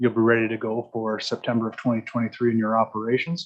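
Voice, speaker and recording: This is a man with a medium-pitched voice. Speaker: arena construction consultant. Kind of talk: council meeting presentation. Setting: council chamber, hybrid meeting. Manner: fast; direct.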